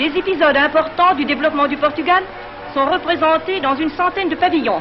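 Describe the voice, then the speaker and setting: Fairly quick speech with music in the background. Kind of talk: newsreel narration.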